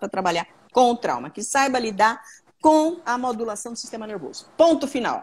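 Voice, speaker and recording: Her pitch fairly high, a woman speaks at a fairly quick pace with very wide pitch swings. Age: 60s. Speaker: trauma therapist. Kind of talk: live Q&A stream. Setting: live video stream.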